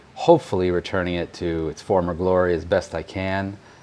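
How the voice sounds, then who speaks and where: The speaker has an American accent. Noticeable background noise can be heard. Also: man. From United States. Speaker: home restoration vlogger. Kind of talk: casual vlog walk-through. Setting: abandoned house, on site.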